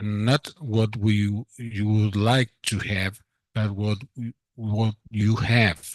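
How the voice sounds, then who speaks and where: Over a quiet background, a man with a Spanish accent speaks very slowly at a fairly low pitch in monotone, flat intonation, with a dry, close sound and no echo. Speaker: doctor. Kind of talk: conference remarks. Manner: halting.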